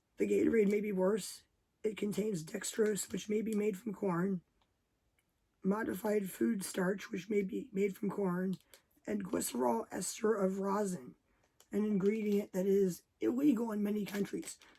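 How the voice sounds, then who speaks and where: A woman with a somewhat breathy, dark, mellow tone speaks at a medium pitch and a fairly slow pace, with ordinary pitch variation. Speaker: YouTuber. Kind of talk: rant. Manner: quiet, not to wake family.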